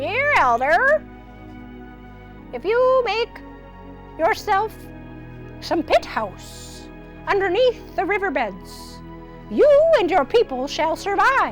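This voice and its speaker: A put-on character voice at an extremely high pitch, with very wide pitch swings, a very slow pace and long, frequent pauses over clear music in the background. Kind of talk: storytelling for children.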